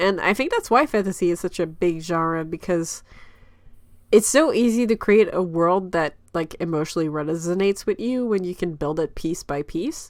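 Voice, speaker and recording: A woman's medium pitch, with ordinary pitch variation, comes through a very clean recording with a silent background. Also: moderate pace. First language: French. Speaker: webcomic creator, panelist. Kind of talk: casual panel discussion. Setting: livestream. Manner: animated.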